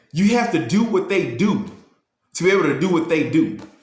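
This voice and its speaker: A man's high voice with very wide pitch swings and audible room echo. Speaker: motivational youtuber. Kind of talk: motivational talk. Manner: fast; halting, repeats words.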